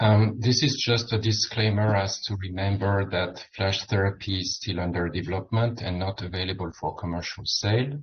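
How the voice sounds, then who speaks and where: A man with a French accent speaks at a moderate pace with hardly any pauses. His voice is fairly low and somewhat breathy, with fairly even intonation. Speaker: medical physicist or radiation oncology researcher. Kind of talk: conference presentation. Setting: dinner symposium with audience.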